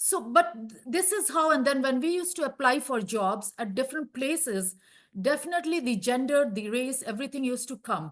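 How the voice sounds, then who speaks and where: With lively intonation and big swings in loudness, a woman talks at a fairly quick pace in a high pitch over a quiet background. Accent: Indian. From India. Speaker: healthcare professional panelist. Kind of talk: panel discussion.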